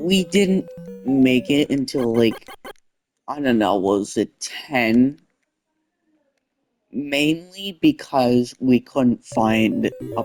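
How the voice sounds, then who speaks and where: Very slow speech over background music. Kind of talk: unscripted casual talk to camera. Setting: controller microphone.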